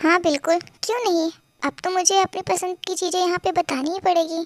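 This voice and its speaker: In a put-on character voice, a woman speaks at an extremely high pitch, with fairly even intonation and a moderate pace. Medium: read story. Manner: smug, flirtatious.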